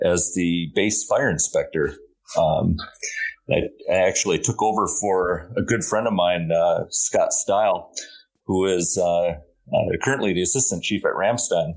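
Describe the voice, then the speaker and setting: Speaking with an American accent, a man keeps to a moderate pace. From Minnesota, US. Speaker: military physician assistant, former firefighter. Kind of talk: interview.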